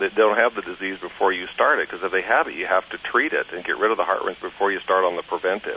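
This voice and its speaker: A man races along at a very fast pace against noticeable background noise. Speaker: veterinarian. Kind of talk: interview.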